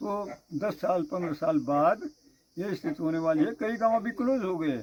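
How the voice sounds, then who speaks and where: A man's high-pitched voice with very wide swings in pitch. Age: 80s+. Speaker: village elder. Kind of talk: interview conversation.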